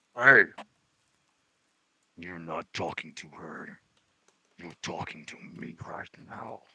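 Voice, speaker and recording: A man uses a raspy, put-on character voice with a very deep, low pitch. He speaks at a very slow pace with long, frequent pauses. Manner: through gritted teeth.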